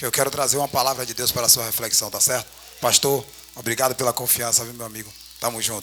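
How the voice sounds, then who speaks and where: Over noticeable background noise, a man speaks very fast in a flat monotone. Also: medium pitch for a man, big swings in loudness. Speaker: preacher. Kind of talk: sermon. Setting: church.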